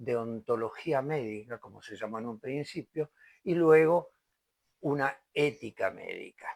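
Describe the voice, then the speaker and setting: In a very clean recording with a silent background and a dry, close sound with no echo, a man with a fairly high pitch speaks very slowly. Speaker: lecturer on medical law. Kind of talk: lecture. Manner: occasional stumbles and hesitations.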